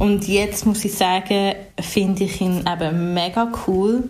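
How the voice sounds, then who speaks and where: A woman speaks very slowly at a medium pitch, in a monotone, flat intonation. Audible room echo and noticeable background noise are present. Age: 20s. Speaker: singer and DJ. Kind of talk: casual interview. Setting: video call.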